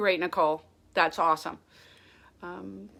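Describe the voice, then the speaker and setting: Her tone is bright and sharp. The woman keeps a moderate pace. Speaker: federal retirement advisor. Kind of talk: live stream Q&A.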